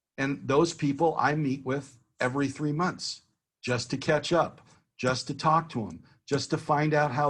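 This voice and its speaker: A man talks at a fairly slow pace with fairly even intonation and a fairly high pitch. His voice is somewhat breathy, and the background is quiet. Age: 60s. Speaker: business consultant giving a networking workshop. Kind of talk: workshop talk.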